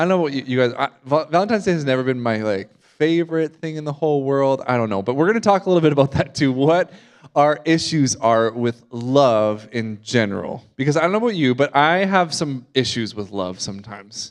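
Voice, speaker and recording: With a slight Canadian accent, a man speaks at a fairly quick pace and a fairly high pitch, using lively intonation and hardly any pauses. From Canada. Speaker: guest preacher. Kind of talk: sermon. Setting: church service with congregation. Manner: casual, conversational with fillers.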